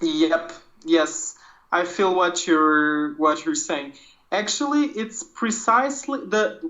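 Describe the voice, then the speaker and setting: The speaker talks at a very slow pace in a Portuguese accent. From Portugal. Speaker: art podcast co-host, comics artist. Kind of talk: casual chat. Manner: hesitant, many fillers.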